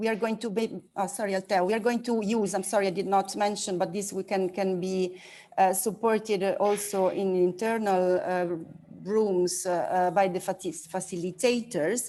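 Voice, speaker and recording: On a very clean recording with a silent background, a woman with an ordinary speaking voice speaks at a medium pitch and moderate pace with fairly even intonation. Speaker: workshop facilitator. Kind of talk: workshop instructions.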